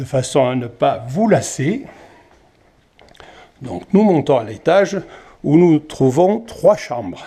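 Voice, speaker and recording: A man with a southern French accent speaks at a very slow pace with long, frequent pauses, in a fairly high, somewhat breathy voice with a dark, mellow tone. His pitch swings are very wide, and his loudness swings widely too. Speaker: chalet owner. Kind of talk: property video tour.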